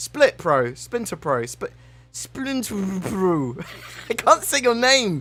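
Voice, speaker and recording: A man's raised, projected voice, high in pitch with very wide pitch swings, over noticeable background noise. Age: 30s. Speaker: gaming youtuber. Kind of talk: live stream chat. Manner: stutters, self-corrects; rambling, fast.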